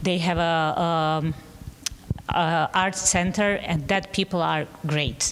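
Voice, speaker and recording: Delivered in a monotone, flat intonation at a very slow pace, this voice keeps a very even loudness, with a Bosnian accent. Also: woman. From Bosnia, Sarajevo. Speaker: painter. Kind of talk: panel discussion. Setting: gallery talk with live audience. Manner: halting.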